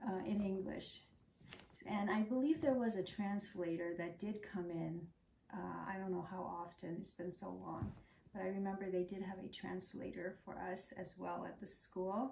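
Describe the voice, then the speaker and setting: There is audible room echo as a woman with an American accent talks at a moderate pace, her voice showing vocal fry. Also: medium pitch for a woman, ordinary pitch variation. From Laos, then Thai refugee camp, raised from age 9 in Tennessee and Arizona. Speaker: refugee immigrant, former teacher. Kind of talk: oral history interview.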